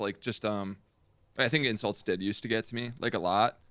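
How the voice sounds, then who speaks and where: A loud, bright, sharp tone at a fairly quick pace. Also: man. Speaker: gaming streamer. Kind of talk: casual chat.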